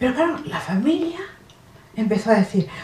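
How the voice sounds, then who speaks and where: There is noticeable background noise. A woman talks over it with lively intonation. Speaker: actress. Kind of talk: comic stage monologue. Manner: satirical, humorous.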